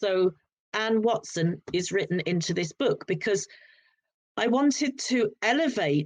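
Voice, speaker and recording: A woman speaks at a fairly slow pace with a fairly high pitch. Her pitch swings very widely. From southern England, Sussex. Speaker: author. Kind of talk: casual interview chat. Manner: halting, with many repetitions.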